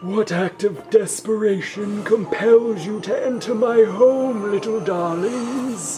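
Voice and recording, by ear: Over clear music in the background, a put-on character voice with fairly high pitch speaks at a fairly slow pace.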